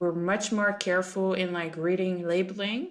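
A woman with a French accent talks at a medium pitch in a flat, monotone delivery. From France. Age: 20s. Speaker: food sustainability specialist. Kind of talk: casual podcast conversation.

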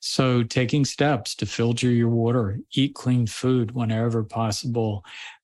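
A man talks at a fairly slow pace and a medium pitch, in a monotone, flat intonation. His loudness stays very even, and the recording is very clean with a silent background. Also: hardly any pauses. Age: 60s. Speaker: physician and author. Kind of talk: casual interview.

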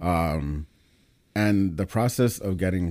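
A very deep, low-pitched man with a New York accent, a dark, mellow tone, ordinary pitch variation and a fairly slow pace. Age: 30s. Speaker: pre-med student. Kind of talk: casual chat.

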